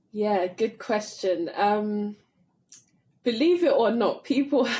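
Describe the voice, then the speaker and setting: Very slow, somewhat breathy speech with an American accent. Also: woman. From London, England. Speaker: theology professor. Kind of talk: podcast interview. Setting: studio.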